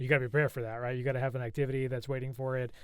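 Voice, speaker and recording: The speaker is a man with a medium pitch. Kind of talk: casual chat. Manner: fast.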